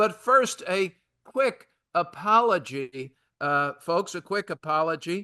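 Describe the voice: Against a quiet background, a man talks in a raised, projected voice. His tone is high, bright and sharp, with ordinary pitch variation.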